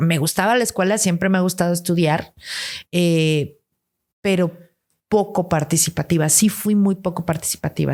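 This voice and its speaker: At a moderate pace, a woman with a fairly low pitch speaks in a very clean recording against a silent background. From Guatemala, raised largely in Mexico City. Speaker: podcast guest. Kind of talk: interview. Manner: animated.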